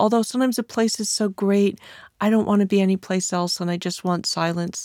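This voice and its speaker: Recorded very cleanly against a silent background, with a dry, close sound and no echo, a woman with an American accent speaks at medium pitch in a calm, dark, mellow tone with fairly even intonation. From California. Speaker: writer and historian. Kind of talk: author interview monologue.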